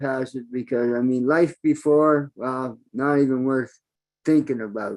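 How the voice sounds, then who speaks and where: A man talks at a moderate pace in an unremarkable speaking voice, pitched fairly high, with ordinary pitch variation. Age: 60s. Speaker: online business member. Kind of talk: open mic testimony.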